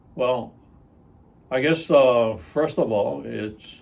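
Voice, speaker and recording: Amid audible room echo, a man speaks at a very slow pace with ordinary pitch variation. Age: 70s. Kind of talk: interview. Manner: hesitant, many filler words.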